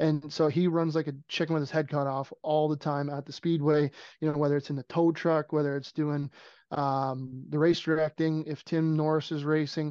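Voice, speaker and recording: Against a quiet background, a man with a Canadian accent speaks at a moderate pace and fairly high pitch, his dark, mellow tone held monotone and flat in a dry, close sound with no echo. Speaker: speedway race announcer. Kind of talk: casual interview chat.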